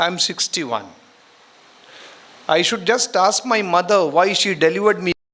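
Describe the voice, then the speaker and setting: A man speaks in a raised, projected voice. His pace is moderate, with ordinary pitch variation. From India, Karnataka (Udupi). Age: 60s. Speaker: retired educator, guest speaker. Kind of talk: speech to students at college event.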